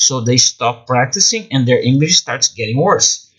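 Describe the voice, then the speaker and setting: Over noticeable background noise, a man with a Brazilian accent and a fairly high pitch speaks at a fairly slow pace with lively intonation. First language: Portuguese. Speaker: English teacher and self-published author. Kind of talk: promotional talk about own books. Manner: halting, with fillers and restarts.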